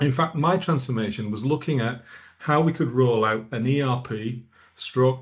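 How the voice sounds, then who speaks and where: A man with a northern English accent, medium in pitch with ordinary pitch variation, somewhat breathy, at a moderate pace. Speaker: product manager. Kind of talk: conference presentation. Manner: hesitant with repetitions.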